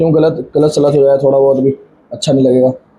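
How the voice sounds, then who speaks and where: A man speaks at a fairly quick pace with audible room echo around him. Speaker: physics teacher. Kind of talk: lecture. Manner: repetitive, conversational.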